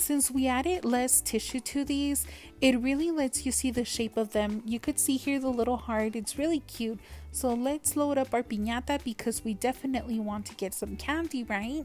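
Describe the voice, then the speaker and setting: Over music in the background, a woman talks at a moderate pace with a high pitch and ordinary pitch variation. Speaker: toy unboxing youtuber. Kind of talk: unboxing tutorial. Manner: animated.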